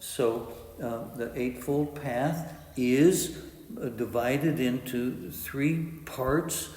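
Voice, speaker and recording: Through audible room echo, a man talks at a very slow pace. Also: medium pitch for a man, ordinary pitch variation. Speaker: meditation teacher. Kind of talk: dharma talk. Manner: halting with many uh fillers.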